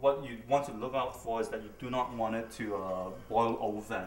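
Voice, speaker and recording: A man at medium pitch speaks at a moderate pace with fairly even intonation, with audible room echo and noticeable background noise. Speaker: cooking show host. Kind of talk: cooking tutorial. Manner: casual, chatty with laughs.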